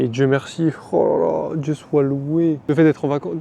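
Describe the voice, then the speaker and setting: A fairly high-pitched man with a French accent, against noticeable background noise. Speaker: vlogger, cook. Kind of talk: casual vlog. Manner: casual, hesitant with fillers.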